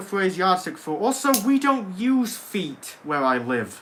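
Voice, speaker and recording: With an American accent, a man talks in a raised, projected voice, his bright, sharp tone swinging very widely in pitch. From England. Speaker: gaming livestreamer. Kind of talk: casual livestream chat.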